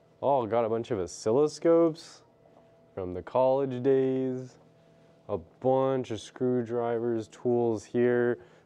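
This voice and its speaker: Speaking very slowly, a man uses a dark, mellow tone. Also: ordinary pitch variation. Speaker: tech vlogger. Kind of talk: casual vlog chat. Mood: curious, excited. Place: workshop. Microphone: phone near.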